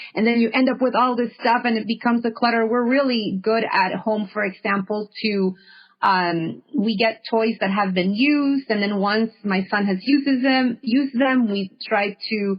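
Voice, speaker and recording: A woman talks with hardly any pauses, her fairly high voice somewhat breathy and her intonation fairly even. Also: moderate pace. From Honduras. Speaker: podcast host, yoga and meditation guide. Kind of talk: casual interview conversation.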